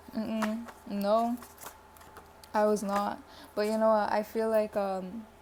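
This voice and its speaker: A woman with a fairly high voice speaks with long, frequent pauses over noticeable background noise. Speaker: tarot reader. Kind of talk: pick a card tarot reading. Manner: fast; animated.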